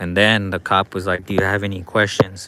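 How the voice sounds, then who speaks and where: The voice has a bright, sharp tone and moves at a fairly quick pace. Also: man. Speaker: citizen journalist filming police. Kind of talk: livestream commentary. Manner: casual, animated; loud.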